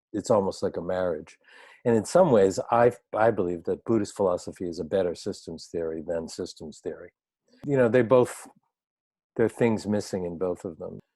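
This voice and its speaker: In a quiet background, a man with an American accent speaks in a fairly low pitch with a dark, mellow tone. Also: ordinary pitch variation, moderate pace. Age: 60s. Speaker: organizational change consultant. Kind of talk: interview. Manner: halting.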